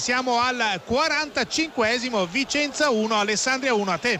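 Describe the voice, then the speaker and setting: Over noticeable background noise, a man uses a raised, projected voice at an extremely high pitch with ordinary pitch variation. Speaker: sports radio commentator. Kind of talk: live football radio commentary.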